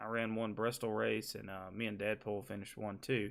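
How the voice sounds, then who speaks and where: Male speech with a Southern US accent. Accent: Southern US (Georgia). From US South, Georgia. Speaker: gaming streamer. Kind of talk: live stream tutorial. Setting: live stream with webcam. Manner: casual, conversational.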